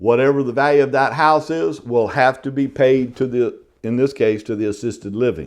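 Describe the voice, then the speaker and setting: At a moderate pace, a man with a Southern US accent speaks at a medium pitch. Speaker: real estate exam instructor. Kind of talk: lecture. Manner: casual, conversational.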